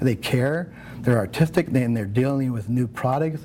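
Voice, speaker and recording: This man speaks with an American accent at a medium pitch and a moderate pace. His pitch varies in an ordinary way over noticeable background noise. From South Central Los Angeles, Nicaraguan family. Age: 60s. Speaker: makeup artist. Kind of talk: interview. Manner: casual, many fillers and repetitions.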